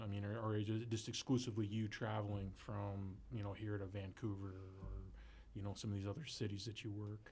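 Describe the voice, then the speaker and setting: A man talks at a fairly quick pace in a fairly low, somewhat breathy voice. His intonation is monotone and flat. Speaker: podcast co-host. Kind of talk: casual chat.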